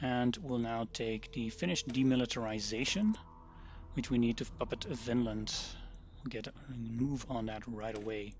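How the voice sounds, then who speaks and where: Speech comes at a moderate pace. Its intonation is fairly even. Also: man, medium pitch for a man. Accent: Dutch. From Netherlands. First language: Dutch. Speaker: gaming streamer. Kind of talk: live gameplay commentary. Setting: live stream.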